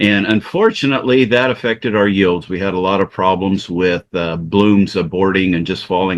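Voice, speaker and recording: A man with an American accent speaks at a moderate pace with a very deep, low pitch and fairly even intonation. The background is quiet. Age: 60s. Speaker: farmer. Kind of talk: webinar presentation. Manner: halting, many fillers.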